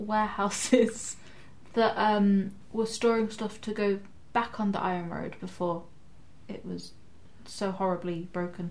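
A somewhat breathy woman at medium pitch, fairly slow in pace, with fairly even intonation. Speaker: tabletop RPG player. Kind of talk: live-play tabletop RPG, casual chat with in-character speech.

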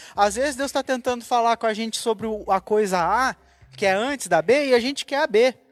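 Her voice is a plain, everyday voice with a fairly high pitch. The woman moves at a fairly quick pace with ordinary pitch variation. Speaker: church member panelist. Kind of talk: casual church panel discussion.

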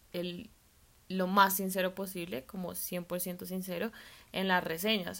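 Using an ordinary speaking voice, a woman talks fairly slowly at a medium pitch. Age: 20s. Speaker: food blogger and design student. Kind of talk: podcast interview.

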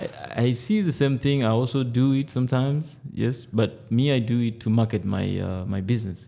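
A man's normal speaking voice at a medium pitch, moderate pace and ordinary pitch variation, with hardly any pauses. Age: 20s. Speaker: personal trainer. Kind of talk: casual interview.

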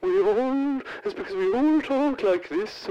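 A put-on character voice, high-pitched and very slow, swings very widely in pitch. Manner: eerie, drawn-out, stereotypical ghostly.

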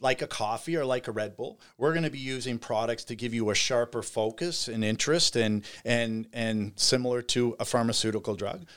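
With a Canadian Maritime accent, a man speaks at a fairly quick pace with hardly any pauses, his medium pitch showing ordinary variation on a very clean recording with a silent background. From Nova Scotia, Canada (Bridgewater). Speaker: cannabis industry entrepreneur. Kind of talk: casual interview. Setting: studio.

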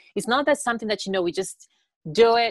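A woman talks at a very fast pace. The sound is dry and close, with no echo. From Tanzania. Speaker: care aide and social media creator. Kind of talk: casual interview chat.

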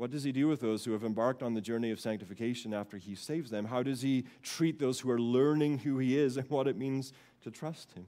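A man talks at a very fast pace with hardly any pauses, in a medium pitch and a dark, mellow tone. The recording is very clean, with a silent background. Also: ordinary pitch variation. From Scotland. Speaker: pastor. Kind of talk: sermon. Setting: church.

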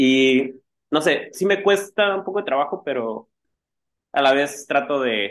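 Long, frequent pauses break up this man's speech. He has a fairly high pitch and lively intonation. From Mexico, Tijuana. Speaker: punk band guitarist. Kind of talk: casual interview chat. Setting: video call.

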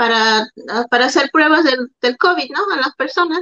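A woman speaks in a raised, projected voice, high in pitch, bright and sharp in tone, with ordinary pitch variation. The sound is dry and close, with no echo. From Peru. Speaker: hairstylist and COVID tester. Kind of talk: casual chat.

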